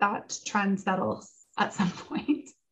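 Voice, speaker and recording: With a Canadian accent, a woman speaks fairly slowly in a somewhat breathy voice. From London, Ontario, Canada. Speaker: charity executive director. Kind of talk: interview.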